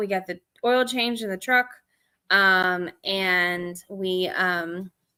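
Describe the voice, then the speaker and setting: A woman's voice, bright and sharp in tone, carries lively intonation. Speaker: yarn and fiber vlogger. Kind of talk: casual live stream chat. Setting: live stream from home.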